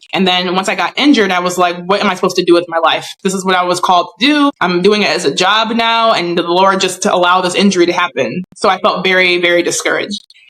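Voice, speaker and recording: In an American accent, a woman talks very fast at a medium pitch with ordinary pitch variation and hardly any pauses over noticeable background noise. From USA. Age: 30s. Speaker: professional athlete. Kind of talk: interview.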